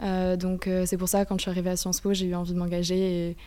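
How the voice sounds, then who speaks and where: A woman speaks at a very fast pace in a medium pitch. Her tone is dark and mellow, her intonation monotone and flat. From France. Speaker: student association co-president. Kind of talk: radio interview. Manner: halting.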